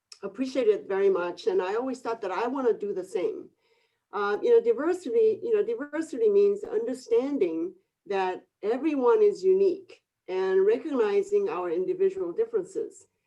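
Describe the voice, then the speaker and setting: Speaking with a Korean accent, a woman has an extremely high pitch with very wide pitch swings and a dark, mellow tone. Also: moderate pace. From Korea, moved to Northern California at 14. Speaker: real estate broker and coach. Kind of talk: webinar panel discussion.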